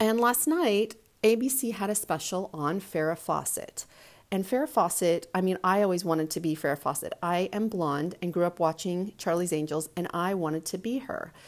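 With lively intonation and a moderate pace, a woman speaks in a normal speaking voice at medium pitch. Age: 40s. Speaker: podcast host. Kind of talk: solo monologue. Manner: casual, conversational.

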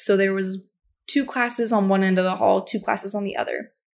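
A woman with a plain, everyday voice speaks fairly quickly at medium pitch with ordinary pitch variation, on a very clean recording with a silent background. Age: 20s. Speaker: solo podcast host and college student. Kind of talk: casual monologue.

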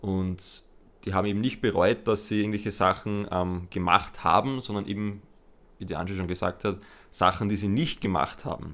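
Here a man speaks at a fairly low pitch and a moderate pace. His intonation is fairly even. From Lower Austria. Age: 20s. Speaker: podcast co-host, personal trainer. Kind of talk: casual chat.

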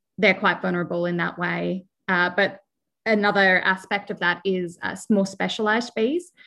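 Bright, sharp voice in an Australian accent at a moderate pace, over a quiet background. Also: woman, medium pitch for a woman, monotone, flat intonation. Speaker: bee researcher. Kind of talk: interview.

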